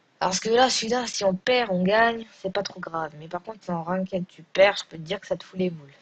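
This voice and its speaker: The sound is dry and close, with no echo. The voice is somewhat breathy. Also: woman, medium pitch for a woman, ordinary pitch variation, big swings in loudness. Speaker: gaming youtuber. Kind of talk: gameplay commentary. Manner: hesitant.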